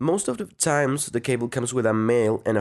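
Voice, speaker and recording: A man speaks at a medium pitch with a Spanish accent. His pace is moderate and the background is quiet. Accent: Spanish accent in English, non-native. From Mexico, Guadalajara. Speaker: audio engineering student. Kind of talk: tutorial. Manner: halting.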